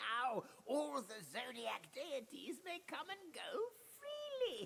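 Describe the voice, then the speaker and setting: A put-on character voice moves at a fairly slow pace, with clear background noise behind it. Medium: video game. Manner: chuckling, proverbial.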